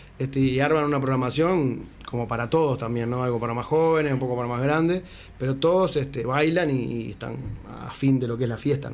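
A man with a Uruguayan accent at a medium pitch, a fairly quick pace and fairly even intonation, with audible room echo. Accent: Uruguayan Rioplatense Spanish. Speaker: musician. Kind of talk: casual interview chat.

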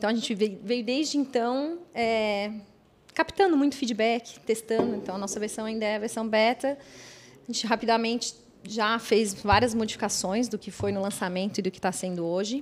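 Using an ordinary speaking voice, a woman with a fairly high pitch talks at a moderate pace with ordinary pitch variation and big swings in loudness. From Blumenau, Santa Catarina, Brazil. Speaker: app co-founder. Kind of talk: podcast interview.

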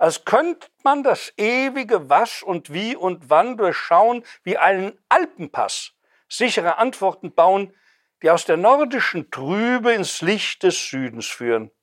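The man's high voice swings very widely in pitch at a very slow pace. The sound is dry and close with no echo, a very clean recording over a silent background. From Hesse, Germany (Wetterau, near Friedberg). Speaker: poet and retired museum director. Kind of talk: poetry reading with commentary. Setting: bookshop reading with audience.

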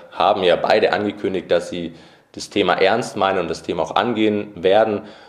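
Noticeable background noise is present throughout. Through it comes a man's voice. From Nuremberg, Franconia (Bavaria). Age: 20s. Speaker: youth politician. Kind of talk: podcast interview.

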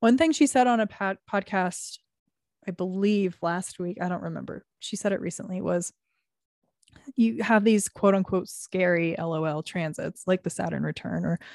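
A woman with a normal speaking voice talks at a moderate pace in a medium pitch with ordinary pitch variation, the sound dry and close with no echo over a quiet background. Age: 20s. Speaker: podcast co-host. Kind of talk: casual chat.

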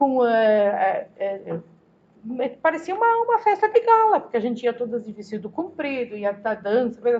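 Speaking at a moderate pace, a woman's voice shows big swings in loudness. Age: 60s. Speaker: retired social worker. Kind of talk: interview reminiscence.

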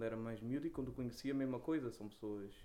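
With a Lisbon accent, a man speaks at medium pitch in a dark, mellow tone. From Portugal, Lisbon (Lumiar). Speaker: rapper. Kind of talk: casual interview. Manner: halting, repeats words.

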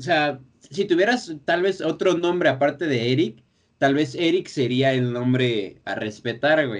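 Speaking with a Mexican accent, a man has a fairly high pitch. His intonation is lively and his pace fairly slow. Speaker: podcast host. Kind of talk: casual chat.

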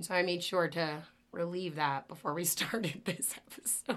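A woman speaks at a medium pitch and a fairly slow pace in a bright, sharp tone. The recording is very clean, with a silent background. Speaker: podcast co-host. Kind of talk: casual interview chat.

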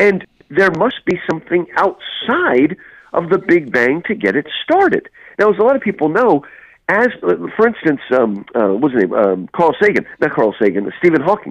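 A man talks with an American accent at a moderate pace. His loudness stays very even, and the sound is dry and close with no echo. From New Jersey / New York area, US. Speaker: English professor and author. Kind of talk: interview about religion and apologetics.

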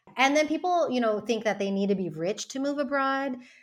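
A woman with an American accent, very wide pitch swings and a fairly quick pace, over a quiet background. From United States. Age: 40s. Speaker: founder of a community for women moving abroad. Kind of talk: podcast interview.

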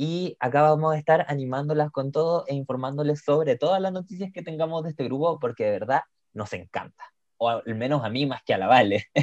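A man with a Chilean accent speaks at a fairly quick pace, his pitch fairly high with ordinary variation. The sound is dry and close, with no echo. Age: 20s. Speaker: podcast co-host. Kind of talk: casual chat.

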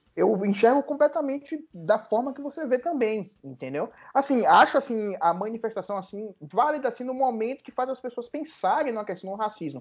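An extremely high-pitched male voice with lively intonation, big swings in loudness, a moderate pace and hardly any pauses. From Salvador, Bahia, Brazil. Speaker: lawyer. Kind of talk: casual chat.

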